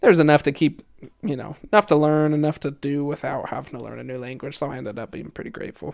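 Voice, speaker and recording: Very fast in pace, a man talks at a fairly high pitch. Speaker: former missionary, student. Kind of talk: casual interview.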